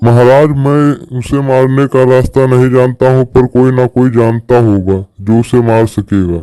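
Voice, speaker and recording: In a put-on character voice, a man speaks at a moderate pace and medium pitch with fairly even intonation and hardly any pauses. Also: very even loudness. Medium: read story.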